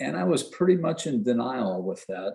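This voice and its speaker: Here a man with a dark, mellow tone speaks at medium pitch, his voice making very wide pitch swings. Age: 70s. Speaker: kidney transplant recipient and peer mentor. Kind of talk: personal testimony on a webinar. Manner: storytelling, conversational.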